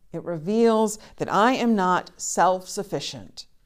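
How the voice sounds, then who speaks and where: A woman with an American accent speaks at medium pitch with lively intonation, in a normal speaking voice. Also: very clean recording, silent background. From US South, Charleston, South Carolina. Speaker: pastor and podcast co-host. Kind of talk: sermon; casual chat.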